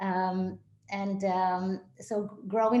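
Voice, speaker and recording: Audible room echo surrounds a woman as she speaks. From Israel. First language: Hebrew. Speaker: synagogue executive director. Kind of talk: interview. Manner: hesitant, many fillers.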